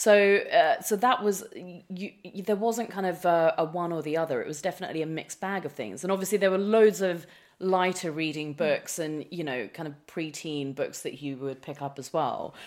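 On a very clean recording with a silent background, a woman with a normal speaking voice talks at a moderate pace and fairly low pitch, with ordinary pitch variation, big swings in loudness and hardly any pauses. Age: 30s. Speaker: author. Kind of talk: interview.

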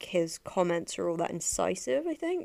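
A woman speaks with an English accent. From England. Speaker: podcast host, film and TV reviewer. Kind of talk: solo monologue review. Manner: casual with many filler words.

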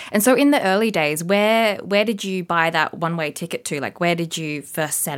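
In an unremarkable speaking voice, a woman talks at a fairly quick pace with hardly any pauses and lively intonation, on a very clean recording with a silent background. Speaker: podcast host and travel journalist. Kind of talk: interview.

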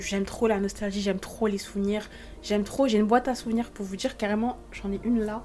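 A woman's medium-pitched voice, fairly quick, in a monotone, flat intonation. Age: 20s. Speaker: podcast host. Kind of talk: casual monologue. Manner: hesitant.

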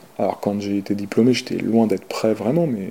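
This man talks at a fairly quick pace in a fairly low voice, his intonation fairly even. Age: 40s. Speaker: sports journalist. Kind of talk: interview testimony. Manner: halting.

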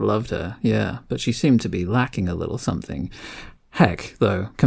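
In a natural reading voice, the speaker lets the pitch rise and fall in an ordinary way.

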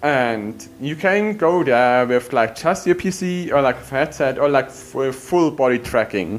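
A man with a medium pitch talks at a fairly slow pace, lively in intonation and with hardly any pauses. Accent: German. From Germany. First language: German. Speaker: window cleaner. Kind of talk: casual chat.

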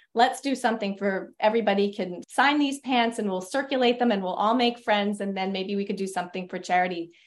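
A woman with an American accent talks at a fairly quick pace with hardly any pauses, using an ordinary speaking voice with ordinary pitch variation. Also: medium pitch for a woman, quiet background. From US Northeast (New York). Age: 50s. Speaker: novelist. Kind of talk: interview.

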